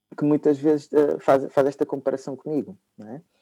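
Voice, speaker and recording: Dry and close, the sound carries no echo. The voice's tone is dark and mellow. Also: man. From Portugal, Lisbon, with Angolan parents. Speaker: psychologist. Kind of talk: casual interview conversation. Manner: halting, with many repeated words.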